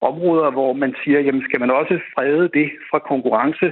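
This man's voice sits fairly high, with ordinary pitch variation. He speaks at a moderate pace. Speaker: sports lawyer. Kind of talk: interview. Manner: halting, repeats words.

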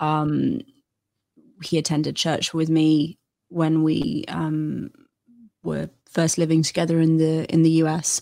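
Spoken very slowly in a British accent, the voice has a dark, mellow tone, fairly even intonation, and long, frequent pauses. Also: woman, very deep, low pitch for a woman. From England. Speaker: Assyriologist and educational content creator. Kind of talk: casual interview conversation.

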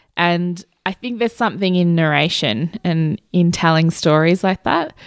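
Someone with an Australian accent is heard in a very clean recording with a silent background. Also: woman, dry, close sound with no echo. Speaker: storyteller and podcaster. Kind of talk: interview; storytelling performance.

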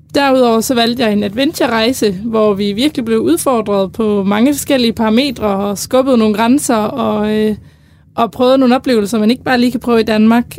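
A woman with a normal speaking voice talks at a fairly quick pace in a fairly high pitch. Her loudness stays very even, and her pitch varies in an ordinary way. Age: 20s. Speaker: university student. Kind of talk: casual chat. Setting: studio.

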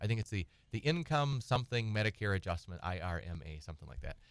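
Heard dry and close with no echo, a man with an American accent and an unremarkable speaking voice talks at a fairly quick pace, fairly low in pitch, with lively intonation. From Wisconsin. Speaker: estate planning attorney. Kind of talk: radio call-in advice. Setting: radio studio.

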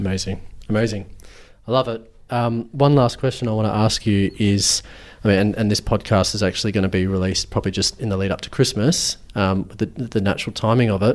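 In a very clean recording with a silent background, a man speaks at a fairly low pitch with fairly even intonation. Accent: Australian. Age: 30s. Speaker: podcast host. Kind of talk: interview; scripted narration. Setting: guest's office.

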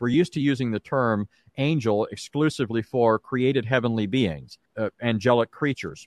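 A man with an American accent, medium in pitch, at a fairly quick pace with ordinary pitch variation, the sound dry and close with no echo. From Southern California, Orange County. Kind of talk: testimony and Bible teaching.

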